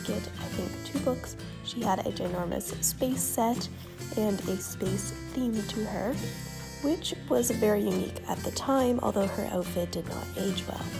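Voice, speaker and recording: A woman speaks quietly at a fairly slow pace, with music in the background. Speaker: doll collector and video maker. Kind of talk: casual talk to camera.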